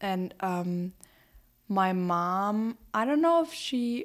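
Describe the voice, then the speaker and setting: A woman with a German accent talks at a very slow pace and a medium pitch. The recording is very clean, with a silent background. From Germany, Berlin. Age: young. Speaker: exchange student. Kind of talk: casual chat.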